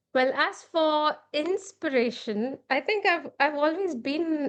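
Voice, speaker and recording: In an Indian accent, a woman talks at a fairly slow pace with ordinary pitch variation. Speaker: children's author and illustrator. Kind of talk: podcast interview.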